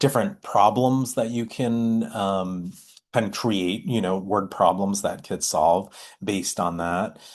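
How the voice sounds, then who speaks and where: A man with a plain, everyday voice talks at a fairly slow pace in a fairly low pitch, with ordinary pitch variation and a quiet background. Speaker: math education presenter. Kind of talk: online workshop presentation.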